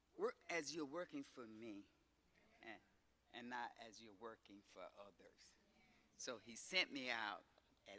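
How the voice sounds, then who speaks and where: A man with an American accent speaks at a fairly slow pace, leaving long, frequent pauses. His medium pitch has ordinary variation, his tone is bright and sharp, and his loudness swings widely. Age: 80s+. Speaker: retired teacher. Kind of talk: acceptance speech.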